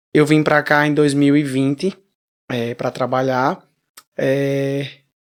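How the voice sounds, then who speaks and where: A man's voice, fairly high in pitch. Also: long, frequent pauses. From Brazil, Paraíba (Damião). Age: 20s. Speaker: singer. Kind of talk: interview.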